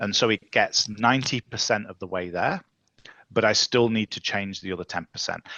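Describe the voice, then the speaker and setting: Fairly even intonation from a man with a fairly low pitch. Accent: English. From England. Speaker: tech leadership coach. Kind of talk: casual chat.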